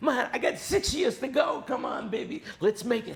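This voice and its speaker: A man with an American accent speaks at a moderate pace with very wide pitch swings. Noticeable background noise is present. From New York. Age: 70s. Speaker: music industry veteran. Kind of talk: casual interview chat.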